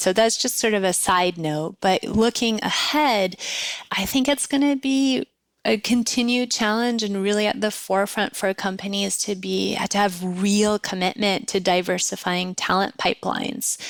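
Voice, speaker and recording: On a very clean recording with a silent background, a woman speaks at medium pitch with ordinary pitch variation. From US, first generation American, Iranian parents. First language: Persian. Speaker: nonprofit executive. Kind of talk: interview.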